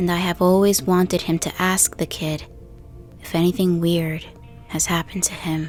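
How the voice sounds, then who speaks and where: With music in the background, a woman speaks at a moderate pace and medium pitch, her pitch varying in an ordinary way. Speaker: horror story narrator. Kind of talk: true scary story narration.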